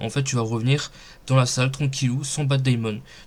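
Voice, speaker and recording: Somewhat breathy man at a medium pitch with fairly even intonation. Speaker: gaming youtuber. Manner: hesitant, many fillers.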